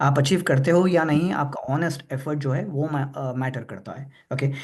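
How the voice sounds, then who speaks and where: A somewhat breathy voice at a moderate pace with ordinary pitch variation. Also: man. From Hyderabad, India. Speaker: presenter at a religious discussion forum. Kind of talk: Q&A answer in an online discussion forum. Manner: halting, many fillers; Hindi-English code-switching.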